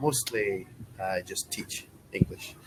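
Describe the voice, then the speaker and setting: Very slow speech from a man with a British accent, over noticeable background noise. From Scotland. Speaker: online English tutor. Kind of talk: casual conversation lesson.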